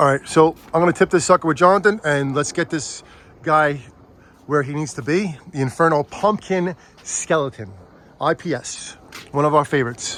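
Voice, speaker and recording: A man with a fairly high voice speaks in an animated tone with ordinary pitch variation. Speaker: Halloween decor vlogger. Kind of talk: casual vlog chat. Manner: fast.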